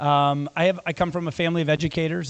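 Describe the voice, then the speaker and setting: A man speaks at a fairly quick pace with a US Midwestern accent. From western Iowa, US Midwest. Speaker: school superintendent. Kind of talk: community meeting talk. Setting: public meeting with audience. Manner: casual, frequent fillers.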